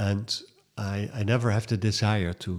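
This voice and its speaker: A man speaks with a Dutch accent at a fairly low pitch. His pace is moderate and his intonation fairly even. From Netherlands. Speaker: writer and volunteer. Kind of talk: interview. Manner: halting.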